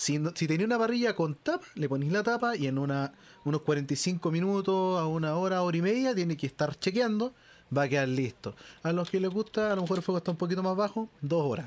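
Speaking fairly quickly with a Chilean accent, a man keeps his volume very even while his high voice moves in a lively way. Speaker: podcast co-host. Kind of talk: casual chat.

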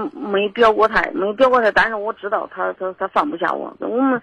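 Here a woman talks at a moderate pace with ordinary pitch variation. The sound is dry and close, with no echo. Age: 40s. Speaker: caller. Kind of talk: casual chat. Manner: halting.

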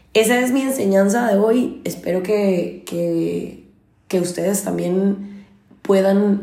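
Audible echo from the room surrounds this woman as she talks. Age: 30s. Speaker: podcast host. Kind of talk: personal monologue.

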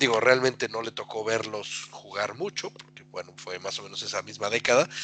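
There is noticeable background noise. Through it, a man speaks at a medium pitch. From Mexico (Atlixco, Puebla). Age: 40s. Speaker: football fan, podcast guest. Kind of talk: casual chat.

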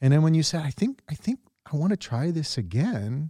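A man with lively intonation and a dark, mellow tone, in a very clean recording with a silent background and a dry, close sound with no echo. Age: 50s. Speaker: recovery podcast co-host, clinician. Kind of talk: casual chat.

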